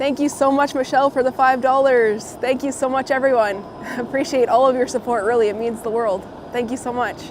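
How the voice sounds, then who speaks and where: Over noticeable background noise, a woman speaks at a fairly quick pace in a high voice with fairly even intonation. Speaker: live streamer. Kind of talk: live stream chat while walking. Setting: outdoors.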